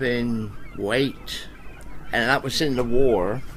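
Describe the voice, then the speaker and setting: Against noticeable background noise, a man with a medium pitch talks at a very slow pace. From Devon, England (Exe estuary). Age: 80s+. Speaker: local resident. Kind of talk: oral history interview. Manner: halting.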